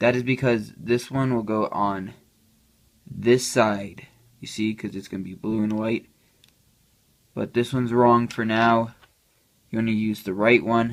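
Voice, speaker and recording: The intonation stays monotone and flat while the loudness takes big swings. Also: man, medium pitch for a man. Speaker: puzzle cube tutorial maker. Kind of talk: tutorial. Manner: casual, hesitant with fillers.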